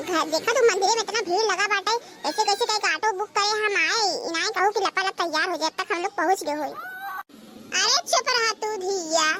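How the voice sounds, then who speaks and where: A squeaky, cartoonish character voice from a woman, extremely high in pitch with ordinary variation, moves at a fairly quick pace over clear background noise. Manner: loud, hurried, scolding.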